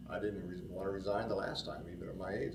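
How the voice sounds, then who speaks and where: Against noticeable background noise and audible room echo, a man talks at a very fast pace in a very deep, low voice. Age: 70s. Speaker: former mayor and grocery store owner. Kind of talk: interview. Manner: halting, many fillers.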